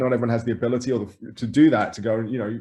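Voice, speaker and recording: A man with an English accent talks at a very fast pace in a dark, mellow tone. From England. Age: 40s. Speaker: grocery store co-founder. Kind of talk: interview conversation. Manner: halting, many repeated words.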